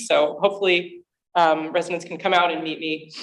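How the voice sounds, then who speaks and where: A woman with an American accent speaks fairly quickly, her fairly low pitch showing ordinary variation. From New Jersey. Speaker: library director. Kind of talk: presentation at community meeting. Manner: fast.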